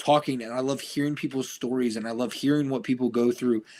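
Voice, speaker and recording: Loud and with an American accent, a man talks at a fairly quick pace on a very clean recording with a silent background. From Ohio, US Midwest. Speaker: podcast guest, fighter and football coach. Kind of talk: casual interview chat.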